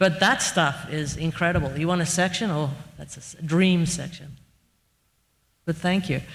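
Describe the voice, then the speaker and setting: At a moderate pace, a somewhat breathy voice with fairly even intonation moves through long, frequent pauses and big swings in loudness. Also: woman. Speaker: architect. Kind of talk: Q&A discussion.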